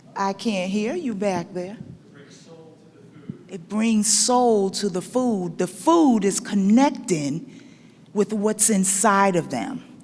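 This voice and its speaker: A woman at a very slow pace, with long, frequent pauses and noticeable background noise. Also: medium pitch for a woman, ordinary pitch variation. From Barbados, grew up in Brooklyn. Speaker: chef and culinary educator. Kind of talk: conference talk. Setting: stage with audience. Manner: lively, engaging with audience.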